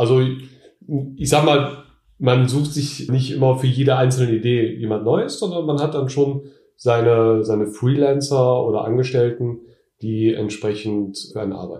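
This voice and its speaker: A man speaks at a moderate pace and medium pitch, with a dark, mellow, somewhat breathy tone and ordinary pitch variation. Audible room echo surrounds his voice. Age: 30s. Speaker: online t-shirt seller, entrepreneur. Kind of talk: interview. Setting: in person at his home.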